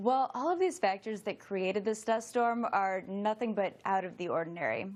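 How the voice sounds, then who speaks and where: Speaking at a moderate pace, this woman has a fairly high pitch. Her pitch variation is ordinary. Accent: American. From US, Florida. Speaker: meteorologist. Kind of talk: TV weather interview.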